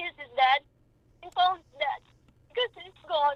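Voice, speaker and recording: Here a woman is speaking. Her pace is moderate. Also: dry, close sound with no echo. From Philippines. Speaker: mother of a homicide victim. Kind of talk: radio talk show interview.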